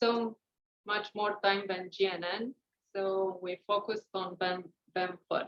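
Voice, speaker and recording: In a monotone, flat intonation, a woman talks at a very slow pace. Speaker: researcher presenting at a workshop. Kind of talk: conference talk. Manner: hesitant, many fillers.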